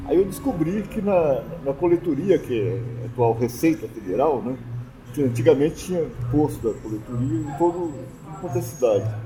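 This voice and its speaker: Lively intonation carries the speech at a moderate pace over noticeable background noise. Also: man, medium pitch for a man. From southern Minas Gerais, Brazil. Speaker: folklore association co-founder and cachaça judge. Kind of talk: casual interview, storytelling.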